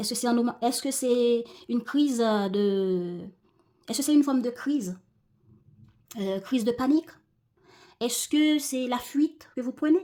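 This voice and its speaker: Her voice is high, dark and mellow, and this woman talks at a fairly slow pace with ordinary pitch variation and long, frequent pauses. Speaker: tarot reader. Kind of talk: tarot reading talk to viewers.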